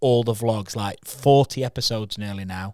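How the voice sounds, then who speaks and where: A man speaks at a medium pitch with a Yorkshire accent. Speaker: podcast co-host, video creative. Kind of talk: casual chat. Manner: animated.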